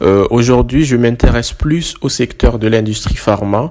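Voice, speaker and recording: A man speaking at a very slow pace. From Madagascar. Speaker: student. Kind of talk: interview.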